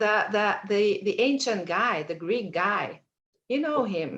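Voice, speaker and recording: A woman at medium pitch with a Hungarian accent, lively intonation and a very slow pace. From Hungary. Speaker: mentee. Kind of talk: mentoring session. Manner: halting.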